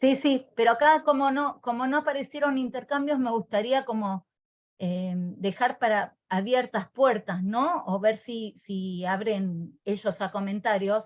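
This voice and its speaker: A woman's plain, everyday voice, fairly high in pitch, with lively intonation at a fairly slow pace. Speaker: teacher trainer. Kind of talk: online workshop presentation.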